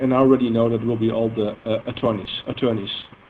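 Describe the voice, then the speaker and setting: This man speaks in a Dutch accent. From Netherlands. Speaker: software engineer presenting a database product. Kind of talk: technical seminar presentation. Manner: halting, with many fillers.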